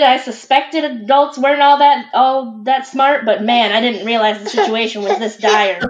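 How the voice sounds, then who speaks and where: Noticeable background noise behind a woman's voice with ordinary pitch variation. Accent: American. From Michigan, US. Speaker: parent. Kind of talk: casual chat.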